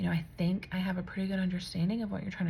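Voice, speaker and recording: A soft-spoken, somewhat breathy voice with a dark, mellow tone and ordinary pitch variation, in audible room echo. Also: woman. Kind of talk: personal testimony vlog. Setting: at home late at night. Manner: casual with many fillers.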